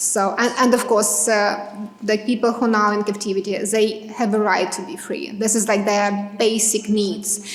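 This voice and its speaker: Speaking at a moderate pace with hardly any pauses, a woman with a Ukrainian accent uses a fairly high pitch and monotone, flat intonation, with audible room echo and noticeable background noise. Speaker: Ukrainian advocate for captives. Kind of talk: public talk at community event. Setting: library event with audience. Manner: halting, many fillers.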